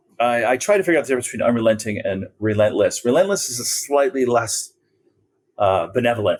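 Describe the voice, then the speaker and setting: A man's unremarkable speaking voice, medium in pitch, with lively intonation at a fairly quick pace. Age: 60s. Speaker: advertising agency founder. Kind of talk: podcast interview.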